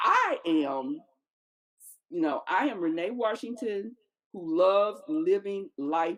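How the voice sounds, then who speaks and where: The pitch swings very widely while the pace stays very slow. Long pauses come often. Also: woman. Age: 60s. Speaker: podcast guest, midlife podcaster. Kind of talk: casual chat.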